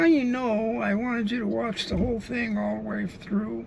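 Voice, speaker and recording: A man holds a moderate pace while noticeable background noise and audible room echo surround his speech. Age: 70s. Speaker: driver and street interviewer. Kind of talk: direct address to camera. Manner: halting.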